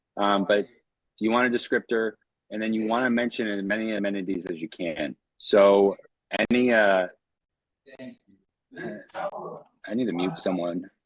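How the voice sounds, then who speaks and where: Pausing long and often, a man talks in a fairly low pitch with ordinary pitch variation. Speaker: short-term rental coach. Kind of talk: live webinar Q&A. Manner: fast; casual.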